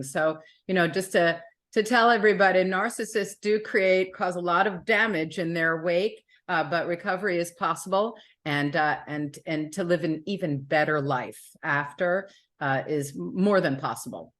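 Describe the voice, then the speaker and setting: An ordinary speaking voice from a woman, fairly low in pitch with ordinary pitch variation, at a moderate pace over a quiet background. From New York City. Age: 60s. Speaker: author. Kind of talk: interview.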